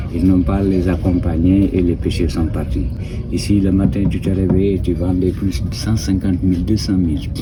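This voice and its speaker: A man's very deep, low voice at a moderate pace, fairly even in intonation, with noticeable background noise and audible room echo. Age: 60s. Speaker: local shopkeeper. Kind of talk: interview.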